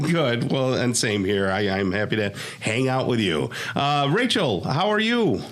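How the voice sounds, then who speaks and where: Against noticeable background noise and audible room echo, a man with an American accent speaks at a fairly slow pace, his medium pitch making very wide swings while his loudness stays very even. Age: 60s. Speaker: radio talk show host. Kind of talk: casual chat interview. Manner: conversational, with hesitations.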